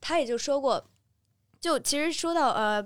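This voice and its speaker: A woman speaks at a high pitch and moderate pace with lively intonation. The recording is very clean, with a silent background. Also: dry, close sound with no echo. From Beijing, China. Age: 20s. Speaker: university student. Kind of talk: casual chat.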